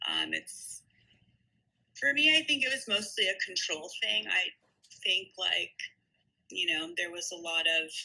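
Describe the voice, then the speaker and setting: Her pace fairly slow, a woman speaks with long, frequent pauses. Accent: American. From New Jersey. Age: 30s. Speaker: yoga teacher. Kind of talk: interview.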